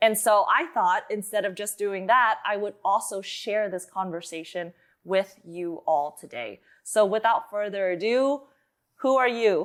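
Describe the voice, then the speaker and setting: A woman with an American accent and an unremarkable speaking voice, medium in pitch with ordinary pitch variation, at a fairly slow pace on a very clean recording with a silent background. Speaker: podcast host, life coach. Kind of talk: casual interview.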